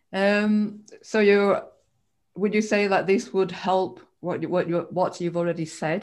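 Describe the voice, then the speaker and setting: A woman at a moderate pace with fairly even intonation, in a very clean recording with a silent background. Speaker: co-host. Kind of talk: hosted live interview. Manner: halting.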